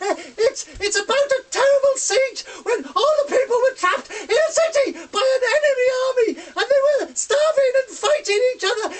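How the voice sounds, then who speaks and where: Someone is doing a put-on character voice at an extremely high pitch. The pace is moderate. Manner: hesitant, stammering.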